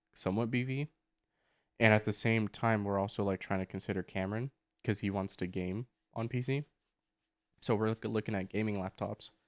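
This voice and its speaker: Recorded very cleanly against a silent background, with a dry, close sound and no echo, a man talks at a moderate pace in a fairly low pitch. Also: long, frequent pauses. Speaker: podcast co-host. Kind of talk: casual chat. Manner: loud. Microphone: new microphone.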